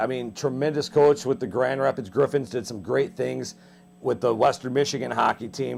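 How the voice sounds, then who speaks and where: There is vocal fry in this man's voice. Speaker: TV sports show host. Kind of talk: sports interview, host questions. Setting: TV studio.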